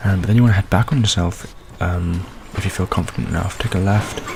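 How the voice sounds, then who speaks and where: A soft-spoken man's very deep, low voice at a fairly quick pace, with ordinary pitch variation and noticeable background noise. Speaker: gaming video creator. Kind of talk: tutorial. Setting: home recording late at night. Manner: quiet, soft-spoken; hesitant, many fillers.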